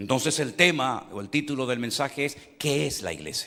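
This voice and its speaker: A man's tone is bright and sharp as he talks at a moderate pace. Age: 60s. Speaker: pastor. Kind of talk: sermon.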